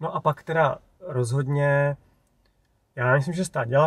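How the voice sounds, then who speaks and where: Against a quiet background, a man speaks at a fairly slow pace in a somewhat breathy voice with ordinary pitch variation. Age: 40s. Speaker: YouTuber on electric cars. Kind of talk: interview. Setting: in a car.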